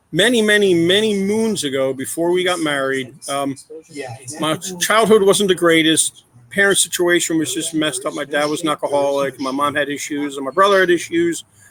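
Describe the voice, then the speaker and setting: Loud and fairly quick, a man talks at a high pitch with ordinary pitch variation. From Philadelphia area, US. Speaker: adoptive father. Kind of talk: podcast interview.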